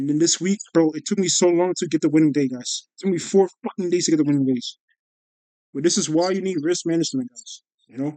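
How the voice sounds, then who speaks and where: In a dry, close recording with no echo, a man with a dark, mellow tone and a high pitch talks at a very fast pace with ordinary pitch variation. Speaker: day trader vlogger. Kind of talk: casual trading recap. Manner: animated.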